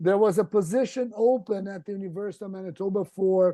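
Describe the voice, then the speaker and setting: With a dark, mellow tone and a high pitch, this man talks at a moderate pace with fairly even intonation. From Brazil. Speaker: endodontist. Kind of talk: casual interview. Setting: video call.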